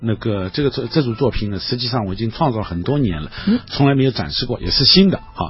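A man's intonation is lively, with noticeable background noise present throughout. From Shanghai, China. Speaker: art professor and painter. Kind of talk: radio interview. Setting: radio studio. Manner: halting with many filler sounds.

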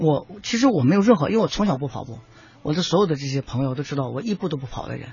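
Speaking at a very fast pace, a man has a fairly high pitch and a somewhat breathy voice. His intonation is lively. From Shaanxi, China. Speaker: running club founder and nutrition expert. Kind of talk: radio panel talk. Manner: halting, many fillers.

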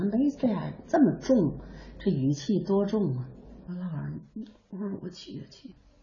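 Very wide pitch swings and big swings in loudness from a woman at a fairly low pitch, moderate pace, over noticeable background noise. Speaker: traditional ballad singer and teacher. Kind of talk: interview reminiscence. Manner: animated.

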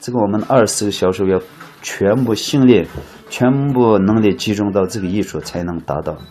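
Against noticeable background noise, a man with a Xinjiang accent talks at a moderate pace, in a fairly low voice with ordinary pitch variation. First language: Uyghur (speaking Chinese). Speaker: muqam folk musician and expert. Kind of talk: interview.

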